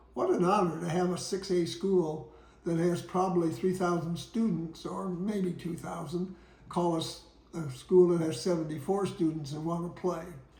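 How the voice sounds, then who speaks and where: Amid audible room echo, a man with a high voice speaks at a moderate pace with fairly even intonation. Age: 80s+. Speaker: retired basketball coach telling his life story. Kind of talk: memoir storytelling. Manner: halting, with fillers.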